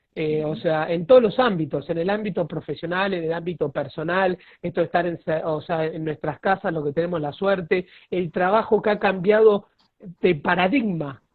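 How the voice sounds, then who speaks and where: Speaking at a moderate pace with a Rioplatense accent, a man uses a high pitch and ordinary pitch variation. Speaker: lawyer, live-stream host. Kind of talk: casual chat. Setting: video call.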